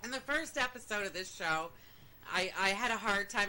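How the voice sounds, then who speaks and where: A woman with a Maine accent speaks at a moderate pace in a medium pitch, her pitch varying in an ordinary way over noticeable background noise. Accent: Maine accent, said to be close to Canadian. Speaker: podcast co-host. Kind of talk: casual chat.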